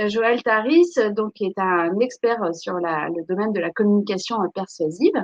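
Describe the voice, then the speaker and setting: Speaking at a moderate pace with hardly any pauses, a woman uses lively intonation at a medium pitch. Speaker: webinar host for a school. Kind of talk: live webinar introduction. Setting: online live stream. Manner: hesitant, many fillers.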